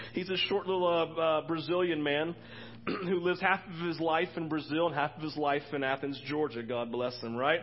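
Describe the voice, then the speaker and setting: A man is speaking. His pitch is high. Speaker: pastor. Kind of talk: sermon. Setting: church.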